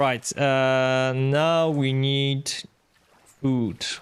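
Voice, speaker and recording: A man speaks with a Polish accent at a medium pitch. His intonation is monotone and flat. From Poland. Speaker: game streamer. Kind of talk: live gameplay commentary. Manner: casual, hesitant with fillers.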